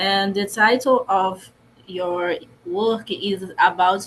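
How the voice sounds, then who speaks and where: A somewhat breathy woman's voice with ordinary pitch variation. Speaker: researcher presenting at a conference. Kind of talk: conference presentation. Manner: halting, with many false starts and fillers.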